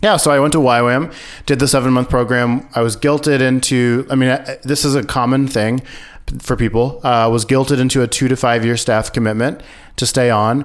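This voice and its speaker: Using a plain, everyday voice, a man with an American accent talks at a fairly quick pace and medium pitch, his intonation fairly even and his loudness very even. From US Midwest (rural Missouri). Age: 30s. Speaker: podcast producer, former missionary. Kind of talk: interview, personal story.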